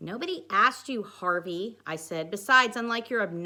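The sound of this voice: This is an unforced reading voice. It carries the text throughout.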